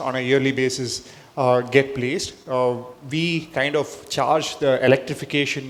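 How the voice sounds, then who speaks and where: A man with a South Indian accent, at a medium pitch, in a monotone, flat intonation. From India, Chennai. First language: Telugu. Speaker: entrepreneur, panelist. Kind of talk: panel discussion. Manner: halting, many fillers.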